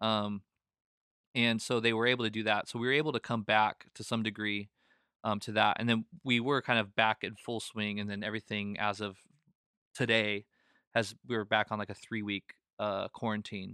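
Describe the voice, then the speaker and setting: A man with a fairly low pitch speaks in a monotone, flat intonation with a bright, sharp tone. The sound is dry and close with no echo, in a very clean recording with a silent background. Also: moderate pace. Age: 30s. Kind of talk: casual chat. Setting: studio.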